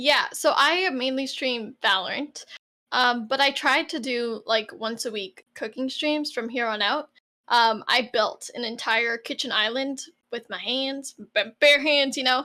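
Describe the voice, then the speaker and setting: Speaking fairly slowly, a woman projects a raised, high voice with a bright, sharp tone and ordinary pitch variation. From Canada, Toronto. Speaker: streamer. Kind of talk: interview.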